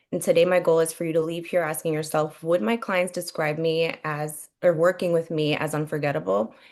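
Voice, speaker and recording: Over a quiet background, a woman with a fairly low pitch talks at a fairly quick pace with ordinary pitch variation. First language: Spanish. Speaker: real estate agent. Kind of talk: webinar presentation.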